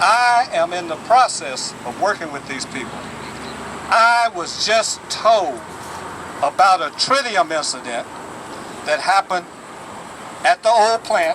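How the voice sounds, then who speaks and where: A man's animated, high-pitched voice with very wide pitch swings, at a fairly slow pace, over noticeable background noise. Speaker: retired plant worker, activist. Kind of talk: protest speech.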